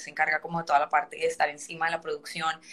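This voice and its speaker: Through noticeable background noise, a woman with a fairly low voice talks at a very fast pace. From Colombia. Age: 30s. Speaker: dancer and entrepreneur. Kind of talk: interview.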